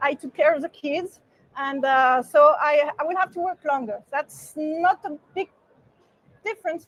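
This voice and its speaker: A high-pitched woman's voice, fairly slow in pace and ordinary in pitch variation, with a dry, close sound and no echo. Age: 60s. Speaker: party member. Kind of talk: interview. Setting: conference. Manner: halting.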